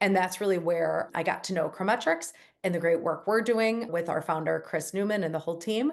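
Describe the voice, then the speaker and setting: In a strong Chicago accent, a woman with a fairly low pitch and ordinary pitch variation talks at a fairly quick pace. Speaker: company CEO. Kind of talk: interview. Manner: casual, conversational.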